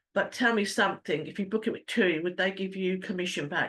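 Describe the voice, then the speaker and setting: A woman talks with a British accent. Her pace is moderate, and the background is quiet. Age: 60s. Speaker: travel agent. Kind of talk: business presentation. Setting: online meeting. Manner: halting.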